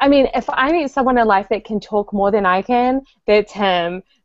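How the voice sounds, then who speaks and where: A woman speaks with a New Zealand accent at a moderate pace. Her pitch is fairly high and varies in an ordinary way. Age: 20s. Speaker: podcast co-host. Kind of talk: casual chat. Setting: video call.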